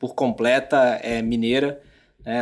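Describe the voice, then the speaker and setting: A man at a fairly slow pace, in a very clean recording against a silent background. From Brazil, moved between Rio, Argentina and Mexico. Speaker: business executive. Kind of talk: podcast interview. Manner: halting, many fillers.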